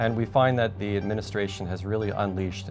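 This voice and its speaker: Over clear music in the background, a man talks at a very fast pace. His pitch is very deep and low. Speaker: immigration lawyer. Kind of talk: interview answer. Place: studio.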